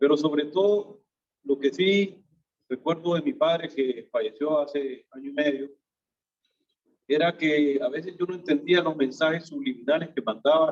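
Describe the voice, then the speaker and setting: A man with an unremarkable speaking voice and a fairly high pitch talks at a fairly slow pace with ordinary pitch variation. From Honduras, Tegucigalpa. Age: 60s. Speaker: businessman, fellowship member. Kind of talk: testimony.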